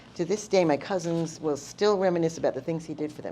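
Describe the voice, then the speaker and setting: A woman's very deep, low voice with a dark, mellow tone at a very fast pace. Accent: New York. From Long Island, New York. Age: 70s. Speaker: storyteller. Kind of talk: personal storytelling.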